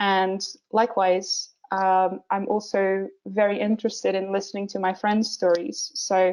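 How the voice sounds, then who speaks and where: Monotone, flat intonation marks a woman's speech at medium pitch and a fairly slow pace. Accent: Portuguese. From Portugal. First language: Portuguese. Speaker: visual development artist. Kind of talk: webinar presentation. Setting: online webinar, screen share. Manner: many filler words and hesitations.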